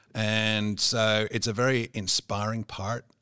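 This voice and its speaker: A man speaks with a fairly low pitch and a bright, sharp tone. The recording is very clean, with a silent background and a dry, close sound free of echo. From England, Cotswolds. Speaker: business executive. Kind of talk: interview.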